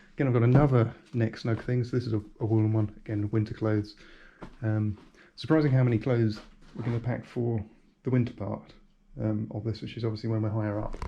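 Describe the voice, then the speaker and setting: A man mumbling at a very fast pace, somewhat breathy, with a dark, mellow tone and monotone, flat intonation. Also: medium pitch for a man. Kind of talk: casual talk to camera.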